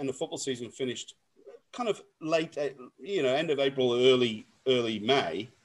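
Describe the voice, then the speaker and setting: A man talks at a very fast pace with an Australian accent. His pitch is fairly high, with ordinary pitch variation. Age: 40s. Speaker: radio host and former cricketer. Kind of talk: casual chat.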